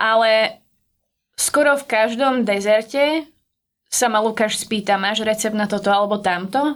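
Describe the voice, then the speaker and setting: In a very clean recording with a silent background, a woman with an unremarkable speaking voice talks with ordinary pitch variation and very even loudness. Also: fairly high pitch for a woman. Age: 30s. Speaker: pastry chef. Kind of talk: casual interview.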